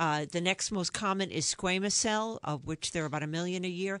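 Speaking in a New York accent, a woman has a fairly low pitch and a moderate pace. The background is quiet. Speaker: dermatologist, professor. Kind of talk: casual interview. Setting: radio studio.

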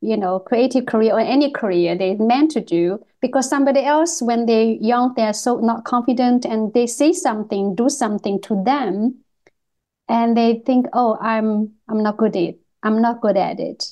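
At a moderate pace, a woman with a non-native accent speaks in a fairly high voice with ordinary pitch variation. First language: not English. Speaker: podcast host and artist. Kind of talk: casual interview. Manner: halting.

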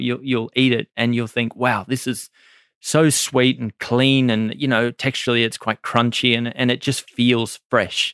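Dry and close with no echo in a very clean, silent recording, a man with an Australian accent and a medium pitch speaks at a moderate pace in a monotone, flat intonation. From Australia, Maitland NSW. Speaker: chef and restaurant owner. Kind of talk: interview. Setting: studio.

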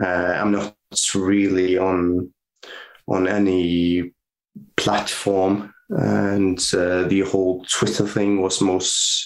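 Very deep and low, a man's voice in a Norwegian accent holds very even loudness, broken by long, frequent pauses. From northern Norway. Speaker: physiotherapist. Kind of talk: casual interview.

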